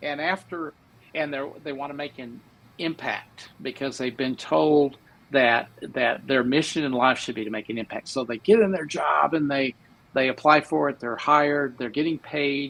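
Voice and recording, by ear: With an American accent, a man speaks at a moderate pace and medium pitch, his fairly bright tone touched by vocal fry and ordinary pitch variation.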